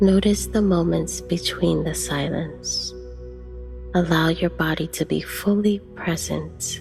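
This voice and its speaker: A woman talks very slowly while music sounds behind her. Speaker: guided meditation narrator. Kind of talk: guided meditation narration.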